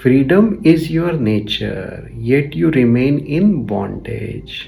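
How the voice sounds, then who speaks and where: Against noticeable background noise, a man speaks at a very slow pace and medium pitch, with very wide pitch swings. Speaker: spiritual teacher. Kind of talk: reading of a spiritual text.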